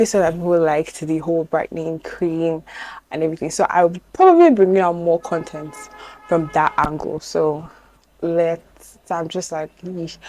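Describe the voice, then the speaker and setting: Music in the background behind a woman's fairly low voice, fairly even intonation and moderate pace. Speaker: beauty vlogger. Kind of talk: product review vlog. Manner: casual, chatty.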